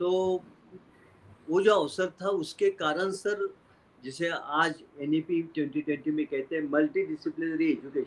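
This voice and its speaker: This man's voice sits high. He speaks with lively intonation. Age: 70s. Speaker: retired university vice-chancellor and media academic. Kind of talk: interview. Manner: hesitant, many fillers.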